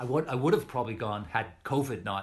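A somewhat breathy man with a Canadian accent speaks at a fairly quick pace with ordinary pitch variation. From Western Canada. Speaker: writer, journalist. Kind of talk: casual conversation. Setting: video call.

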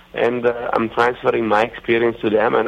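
A medium-pitched man with an Italian accent at a fairly quick pace. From Italy. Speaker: racing driver and driver coach. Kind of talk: casual interview. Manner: halting with many fillers.

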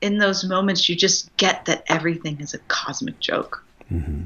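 A woman with vocal fry talks at a moderate pace and a medium pitch. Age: 40s. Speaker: nurse and wellbeing coach. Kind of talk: casual chat.

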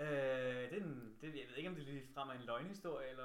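The speaker talks at a moderate pace. Some room echo can be heard. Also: man. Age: 20s. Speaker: podcast host. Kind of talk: casual chat.

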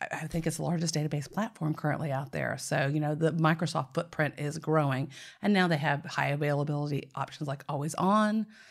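The speaker has a Nashville accent and a fairly quick pace with fairly even intonation. The recording is very clean, with a silent background. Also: woman, very deep, low pitch for a woman, hardly any pauses. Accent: Southern US (Nashville). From Tennessee, US South.

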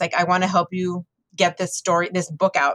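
With an American accent, a woman speaks at a medium pitch in a dry, close sound with no echo. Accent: South Texas Mexican American English. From US South, Texas border (Rio Grande Valley). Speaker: librarian and author. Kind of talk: interview conversation.

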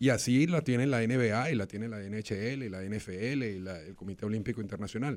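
A man's medium-pitched voice at a moderate pace, with ordinary pitch variation, big swings in loudness and hardly any pauses. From Venezuela. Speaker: sports lawyer. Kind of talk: casual chat.

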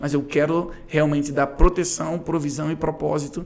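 This clip features a man. He speaks at a moderate pace. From Brazil, Rio de Janeiro. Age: 30s. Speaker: pastor and worship leader. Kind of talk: casual interview.

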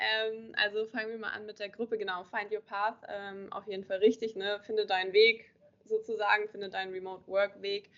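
At a moderate pace, a woman speaks at a medium pitch in a monotone, flat intonation. Her loudness swings widely. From northern Germany, Kiel. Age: 20s. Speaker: social media marketing coach. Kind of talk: interview. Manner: hesitant, many filler sounds.

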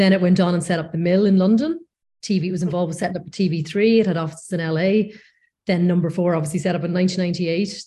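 A woman with a Northern Irish accent talks at a very fast pace in a fairly low, dark, mellow, somewhat breathy voice with monotone, flat intonation. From Northern Ireland, North Coast. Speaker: post-production executive. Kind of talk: interview.

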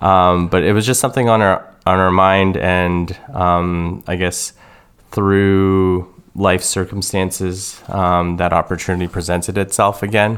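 A man's very deep, low voice, fairly slow, with very even loudness and a monotone, flat delivery. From Canada, Toronto. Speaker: optometrist. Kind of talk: testimony. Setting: studio. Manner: halting.

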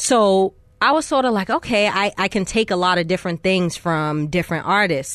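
In an American accent and an ordinary speaking voice, a woman talks at a moderate pace and medium pitch with lively intonation over a quiet background. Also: very even loudness. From Boston, US. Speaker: rapper. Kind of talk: interview. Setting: studio.

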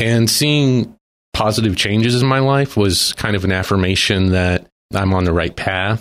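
In a normal speaking voice, a man talks at a moderate pace with a fairly low pitch, ordinary pitch variation and very even loudness. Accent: American. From Texas. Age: 40s. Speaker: guest sharing faith testimony. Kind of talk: testimony. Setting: studio.

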